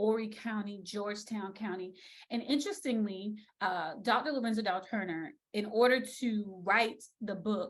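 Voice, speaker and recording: With a somewhat breathy quality, this woman's voice sits fairly high in pitch. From South Carolina Lowcountry. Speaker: speech language pathologist, educator. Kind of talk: virtual lecture. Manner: casual, conversational.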